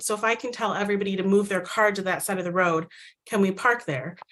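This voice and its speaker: A woman with a Midwestern American accent talks at a very fast pace in a medium pitch with a bright, sharp tone. The background is quiet. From US Midwest, Micronesian community. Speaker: storyteller sharing immigrant experience. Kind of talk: personal testimony. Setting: virtual event.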